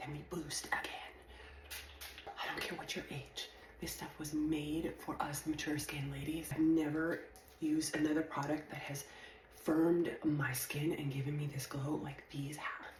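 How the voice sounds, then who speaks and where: A woman's very deep, low pitch, monotone, flat intonation and moderate pace, with noticeable background noise and audible room echo. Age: 50s. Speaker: skincare influencer. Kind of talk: sales pitch.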